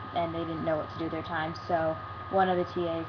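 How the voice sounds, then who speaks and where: Very wide pitch swings from a woman, with noticeable background noise behind her. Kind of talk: casual talk to camera. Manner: stutters and pauses a lot.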